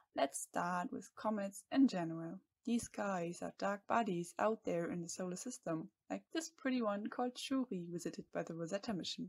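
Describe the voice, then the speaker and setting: Dry and close with no echo, a woman's somewhat breathy voice comes through. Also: medium pitch for a woman, lively intonation, moderate pace. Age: 20s. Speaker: PhD student. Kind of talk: scripted narration.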